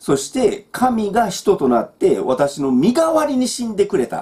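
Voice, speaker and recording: A man talks at a moderate pace in a Kansai accent. His pitch swings very widely. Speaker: Bible teacher. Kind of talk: Bible study talk. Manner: casual, with many fillers. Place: home room. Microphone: webcam.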